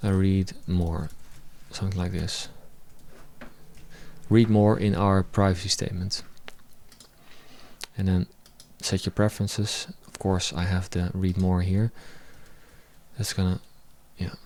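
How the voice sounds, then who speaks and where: Speaking with a non-native accent, a man with a very deep, low pitch talks at a fairly slow pace in a monotone, flat way, with long, frequent pauses. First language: not English. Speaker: web developer. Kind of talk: live coding tutorial. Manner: halting.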